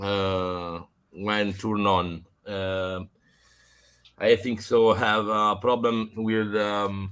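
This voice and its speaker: With a non-native accent, a man speaks very slowly at a fairly low pitch, his intonation monotone and flat. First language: not English. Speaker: vintage computer repair hobbyist. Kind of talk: casual chat. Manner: halting, many fillers.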